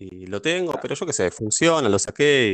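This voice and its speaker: A man is speaking. His pitch swings very widely. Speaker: board game player. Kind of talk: casual interview.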